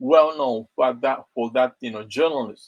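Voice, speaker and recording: A man with a Japanese accent in a dry, close sound with no echo. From Japan, Okinawa. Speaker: English pronunciation coach. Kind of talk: live stream monologue. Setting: online live stream. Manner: halting, many self-corrections.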